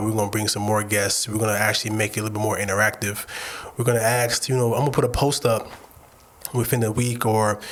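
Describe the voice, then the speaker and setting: A man's medium-pitched voice at a very fast pace, over noticeable background noise. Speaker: podcast co-host. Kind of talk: message to listeners. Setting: studio. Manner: fast, stumbling over words.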